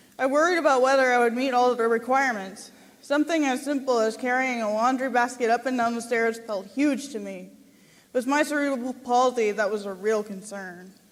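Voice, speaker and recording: A woman with an Upper Midwest accent, high in pitch with ordinary pitch variation, at a moderate pace. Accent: Upper Midwest American. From Minnesota, Saint Paul. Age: 20s. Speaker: college graduate giving a speech. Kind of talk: prepared speech at a gala. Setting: stage with audience.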